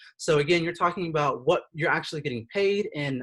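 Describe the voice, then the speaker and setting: Ordinary pitch variation from a male speaker. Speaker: career counselor. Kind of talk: online workshop presentation. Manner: fast; hesitant, many fillers.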